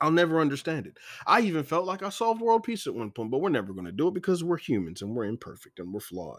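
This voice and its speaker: A man with an American accent talks at a very fast pace and a fairly high pitch, with very wide pitch swings and big swings in loudness. The recording is very clean, with a silent background. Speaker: podcast host. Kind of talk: angry rant, passionate opinion monologue. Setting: solo podcast recording. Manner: fired-up, indignant, forceful and preachy; rambling, stumbling over words, self-interrupting.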